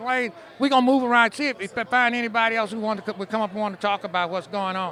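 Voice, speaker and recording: Very fast and in a raised, projected voice, a man speaks at a high pitch with fairly even intonation. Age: 60s. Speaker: radio reporter. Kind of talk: street interview.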